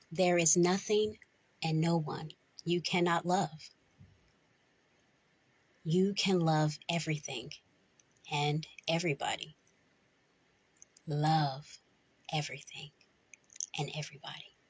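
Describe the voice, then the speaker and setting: A woman speaks in a gentle, somewhat breathy tone at a fairly slow pace. Her intonation is fairly even, and she leaves long, frequent pauses. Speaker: voice actor. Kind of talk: poetry reading. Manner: slow, gentle.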